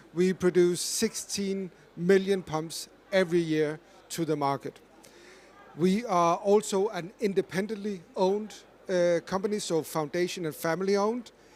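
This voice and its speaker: A man speaks in a high pitch with a Danish accent. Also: fairly even intonation, moderate pace. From Denmark. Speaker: corporate climate expert, panelist. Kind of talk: panel discussion.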